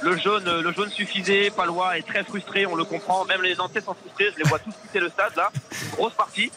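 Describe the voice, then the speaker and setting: Raising and projecting his high-pitched voice, a man talks at a fairly quick pace over noticeable background noise. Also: fairly even intonation. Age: 20s. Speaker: football referee. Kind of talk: interview.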